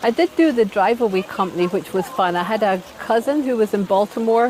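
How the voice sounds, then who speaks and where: A woman with an American accent speaks fairly quickly at a fairly high pitch. Noticeable background noise runs under her voice. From Scotland. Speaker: nurse. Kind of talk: interview.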